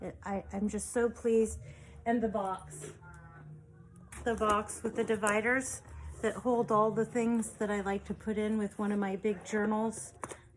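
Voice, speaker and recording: Speaking at a fairly slow pace, a woman uses a fairly high pitch, somewhat breathy delivery and monotone, flat intonation. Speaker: junk journal maker and online seller. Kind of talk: product show-and-tell video. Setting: home desk recording. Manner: sometimes mumbling; quieting down over time.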